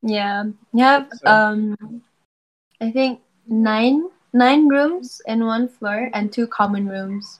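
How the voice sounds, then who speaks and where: Speech moves at a very slow pace with long, frequent pauses. Pitch variation is ordinary. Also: woman, fairly high pitch for a woman. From Brunei. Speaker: medical student. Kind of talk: casual chat. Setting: video call.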